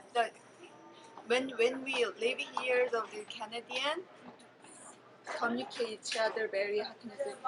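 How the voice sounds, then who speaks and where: With noticeable background noise behind it, the voice keeps a moderate pace and ordinary pitch variation, broken by long, frequent pauses. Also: woman, fairly high pitch for a woman. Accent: Korean. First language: Korean. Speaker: immigrant interviewee. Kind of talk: interview. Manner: halting.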